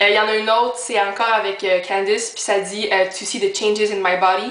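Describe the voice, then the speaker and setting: In a Quebec accent, a woman speaks at a moderate pace and medium pitch with monotone, flat intonation, amid noticeable background noise and audible room echo. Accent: Québécois French. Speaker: YouTuber. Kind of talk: casual vlog. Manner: filler-heavy.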